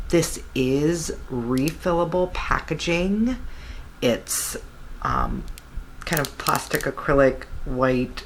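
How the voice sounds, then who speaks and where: There is noticeable background noise as a woman speaks at a very slow pace, with long, frequent pauses. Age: 40s. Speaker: beauty vlogger. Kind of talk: product review. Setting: home, beside napping baby. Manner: lowered, quieter voice; casual with fillers.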